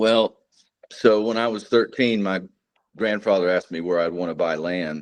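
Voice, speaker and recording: At a moderate pace, a man speaks in a slight Texan accent with ordinary pitch variation. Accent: Texas accent, slight. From North Texas. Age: 40s. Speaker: combat veteran and precious metals dealer. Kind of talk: interview. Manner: halting, many fillers.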